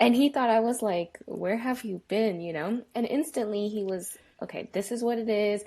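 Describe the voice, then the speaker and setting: A woman speaks with a dark, mellow tone at a fairly high pitch. Her pitch variation is ordinary, and her pace is moderate. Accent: Spanish. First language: Spanish. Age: 30s. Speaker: engineer. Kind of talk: podcast interview. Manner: animated.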